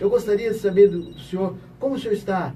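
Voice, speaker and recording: This man's pitch moves in an ordinary way at a moderate pace. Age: 60s. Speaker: retired army officer asking a question. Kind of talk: question from audience in radio interview. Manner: emphatic, repetitive.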